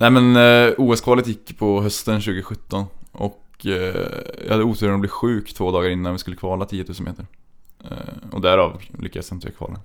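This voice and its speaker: A normal speaking voice from a man, fairly low in pitch and fairly quick, with fairly even intonation and big swings in loudness. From Trollhättan, western Sweden. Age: 20s. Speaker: speed skater. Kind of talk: interview. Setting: studio.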